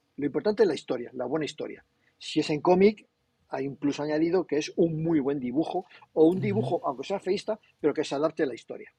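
A man speaks at a very fast pace with lively intonation and fairly high pitch. His tone is dark and mellow, in a dry, close sound with no echo. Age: 60s. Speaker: comics publisher. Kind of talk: casual interview. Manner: animated.

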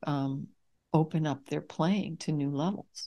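A woman speaks in a very deep, low pitch with vocal fry and ordinary pitch variation, at a moderate pace. The recording is very clean, with a silent background. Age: 60s. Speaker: healing musician and vocalist. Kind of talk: casual interview chat.

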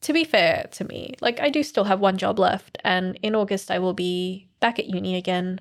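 This woman has a plain, everyday voice at a medium pitch, talking at a moderate pace with hardly any pauses in a very clean recording against a silent background. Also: lively intonation. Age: 20s. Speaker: former podcast host. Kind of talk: casual chat.

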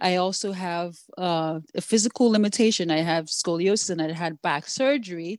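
On a very clean recording with a silent background, a woman with a Nigerian accent talks at a moderate pace, medium in pitch with ordinary pitch variation. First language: Yoruba. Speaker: app developer and founder. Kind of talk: interview answers, conversational.

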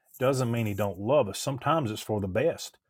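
A somewhat breathy, medium-pitched male voice with ordinary pitch variation. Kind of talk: religious discussion. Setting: video call.

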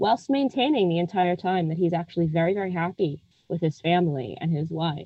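This is a normal speaking voice from a woman with an American accent, pitched fairly low. She moves at a moderate pace with ordinary pitch variation. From United States. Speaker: film critic. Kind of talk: casual interview chat about a film.

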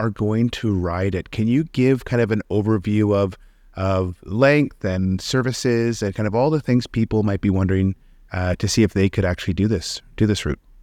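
A man with a fairly low pitch and a plain, everyday voice speaks at a moderate pace in a very clean recording with a silent background and a dry, close sound with no echo. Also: ordinary pitch variation. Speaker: podcast host and company founder. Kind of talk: casual interview.

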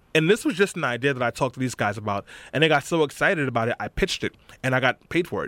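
In a New York accent, a man talks at a very fast pace with lively intonation, the sound dry and close with no echo. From New York, Brooklyn. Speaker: political organizer. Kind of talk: interview. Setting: studio.

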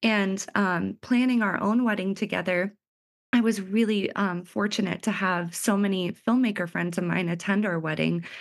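A woman talks in an unremarkable speaking voice at medium pitch. Her pace is moderate and her intonation fairly even. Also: quiet background. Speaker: wedding filmmaker. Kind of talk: casual interview chat.

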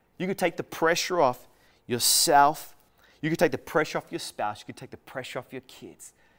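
In a dry, close sound with no echo, a man with an Australian accent speaks at a moderate pace, his fairly high pitch showing ordinary variation and his loudness swinging widely. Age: 40s. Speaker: pastor. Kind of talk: sermon. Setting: recorded for online church.

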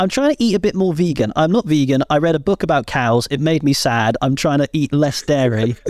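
In a British accent, a man speaks at a fairly quick pace with hardly any pauses, a fairly high pitch, lively intonation and very even loudness, in a dry, close sound with no echo. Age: 30s. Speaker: wrestling podcast host. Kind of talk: casual chat.

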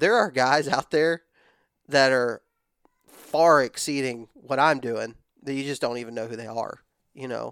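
A man with a Texan accent speaks at a moderate pace, medium pitch and ordinary pitch variation. The recording is very clean with a silent background, and the sound is dry and close with no echo. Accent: Texan Southern US. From West Texas. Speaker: hunting content creator. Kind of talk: casual chat.

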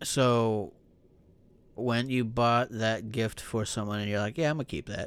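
Spoken at a fairly slow pace with fairly even intonation, this is an unremarkable speaking voice. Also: man, medium pitch for a man. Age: 30s. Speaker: podcast co-host. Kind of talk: casual chat.

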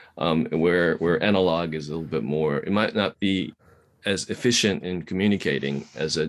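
A man's very deep, low voice with ordinary pitch variation at a moderate pace. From Japan. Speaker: podcast host. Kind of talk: interview conversation.

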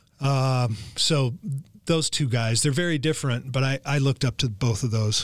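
A man with an unremarkable speaking voice and an American accent talks at a moderate pace, medium in pitch, with ordinary pitch variation and very even loudness. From Los Angeles, California. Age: 60s. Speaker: golf instructor. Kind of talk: interview.

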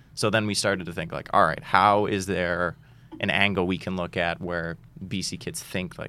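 This man has a bright, sharp tone and an American accent. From Boston. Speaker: stand-up comedian. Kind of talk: casual chat.

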